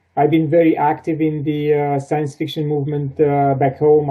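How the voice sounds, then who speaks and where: With a Romanian accent, a man speaks at a fairly high pitch in a monotone, flat intonation. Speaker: sci-fi and fantasy author. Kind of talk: interview. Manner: halting.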